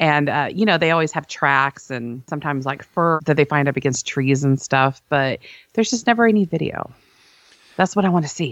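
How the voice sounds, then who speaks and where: Against a quiet background, a woman with a very deep, low pitch talks at a fairly quick pace with lively intonation in a dry, close recording with no echo. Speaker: podcast host and site owner. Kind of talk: casual chat.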